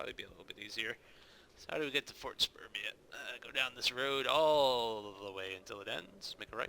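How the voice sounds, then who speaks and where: A man talks at a fairly quick pace with an American accent. His tone is bright and sharp, with big swings in loudness. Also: medium pitch for a man, ordinary pitch variation. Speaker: gaming YouTuber, server admin. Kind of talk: gameplay commentary. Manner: casual.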